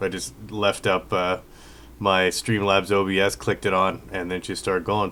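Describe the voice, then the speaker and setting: A man is speaking. His pace is moderate. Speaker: musician streaming music production. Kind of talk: casual live stream chat. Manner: hesitant, many fillers.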